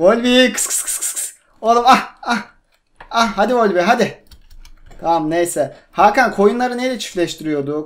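A high-pitched man at a fairly slow pace, with lively intonation and big swings in loudness. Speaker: gaming youtuber. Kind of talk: casual gameplay chat. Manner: animated. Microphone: cheap microphone, buzzing noise.

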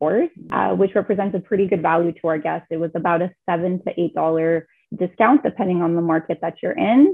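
Fairly quick and fairly low-pitched, a woman's voice carries a slightly husky edge and vocal fry.

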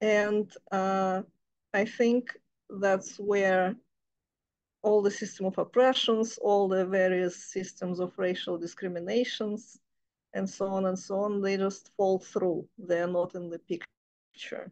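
A woman's very slow, monotone, flat speech over a quiet background. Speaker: reading group member with anthropology background. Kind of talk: group discussion. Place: home room. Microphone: video call.

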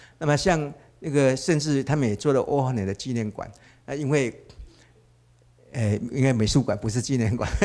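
With long, frequent pauses, a man speaks at a moderate pace in a dark, mellow tone with ordinary pitch variation. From Taiwan. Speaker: art professor and painter; guest lecturer. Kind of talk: lecture. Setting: gallery with live audience. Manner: halting, many filler sounds. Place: hall. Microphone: handheld.

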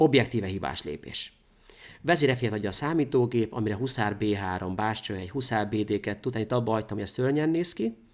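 With a normal speaking voice, a man talks at a fairly quick pace, medium in pitch with lively intonation, against a quiet background. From Hungary. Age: 30s. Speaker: chess grandmaster; guest. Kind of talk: chess game analysis interview. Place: studio.

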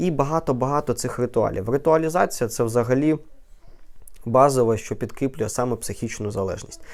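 At a moderate pace, a man talks in a plain, everyday voice with medium pitch and ordinary pitch variation. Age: 20s. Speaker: neurologist. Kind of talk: educational vlog talk.

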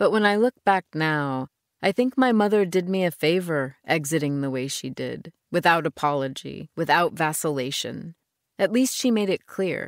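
In a very clean recording with a silent background and a dry, close sound with no echo, a woman speaks at a moderate pace. She has an unremarkable speaking voice, a fairly low pitch and lively intonation. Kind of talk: audiobook narration, first-person reading aloud of a novel. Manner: measured, reflective, storytelling pace with a wistful tone.

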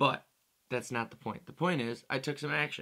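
With ordinary pitch variation, a man talks against a quiet background. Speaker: musician vlogger. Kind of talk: casual vlog chat. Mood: playful, self-mocking. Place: home room. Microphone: studio mic.

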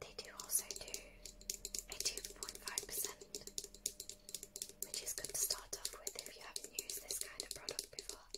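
Whispering at a moderate pace, a woman leaves long, frequent pauses. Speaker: ASMR creator. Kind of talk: ASMR unboxing. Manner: whispered. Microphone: handheld.

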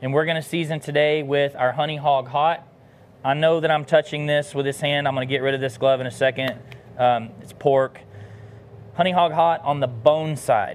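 With an American accent and fairly even intonation, a man talks at a fairly high pitch and moderate pace over light background noise. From US South. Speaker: barbecue cook and business founder; pitmaster host. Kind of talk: cooking demonstration livestream; live cooking tutorial. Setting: outdoor kitchen. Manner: casual, many filler words. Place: garden.

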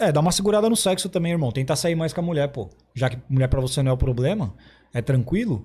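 Very fast in pace, a man speaks with a fairly high pitch and a dark, mellow tone. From interior of São Paulo state, Brazil. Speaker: podcast host. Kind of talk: casual chat. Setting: studio. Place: studio. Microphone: studio mic.

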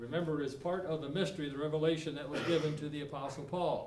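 Noticeable background noise behind a man's fairly quick speech. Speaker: preacher. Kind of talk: sermon. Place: church. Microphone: camera far.

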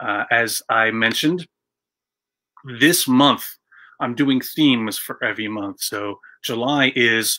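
A man speaks with a bright, sharp tone. The background is quiet. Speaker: web show host. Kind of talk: casual show intro. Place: office. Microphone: webcam.

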